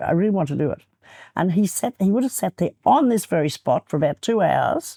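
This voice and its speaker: In a very clean recording with a silent background, a woman's dark, mellow voice swings very widely in pitch, shows vocal fry, and sounds dry and close with no echo. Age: 80s+. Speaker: real estate trainer. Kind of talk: interview.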